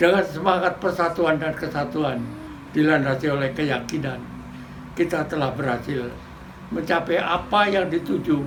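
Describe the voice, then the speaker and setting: A man talks at a moderate pace with a fairly high pitch and ordinary pitch variation. Noticeable background noise and audible room echo are present. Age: 80s+. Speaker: war veteran. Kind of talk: commemorative speech. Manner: formal.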